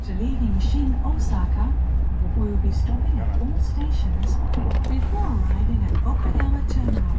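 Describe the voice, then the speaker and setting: A woman talks at a moderate pace. Loud background noise runs beneath her. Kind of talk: public announcement. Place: train.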